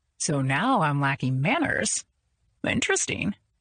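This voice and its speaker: A woman's put-on character voice, very deep and low, at a moderate pace, in a dry, close sound with no echo. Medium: read story. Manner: smooth, confident, teasing.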